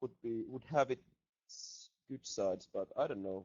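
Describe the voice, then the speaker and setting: This is a man speaking with a Finnish accent. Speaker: metal band musician. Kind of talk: casual chat. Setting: video call.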